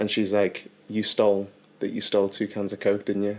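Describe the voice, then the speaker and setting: Fairly quick speech with a Liverpool accent. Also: man. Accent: Liverpool (Scouse). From Liverpool, England. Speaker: actor. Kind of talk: casual chat. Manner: animated storytelling.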